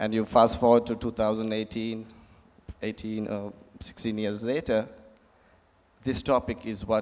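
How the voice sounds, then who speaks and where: A man speaks at a fairly slow pace. His voice is fairly low in pitch. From Sri Lanka. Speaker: advertising executive; panelist. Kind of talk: panel discussion. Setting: stage with audience. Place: stage. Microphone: handheld.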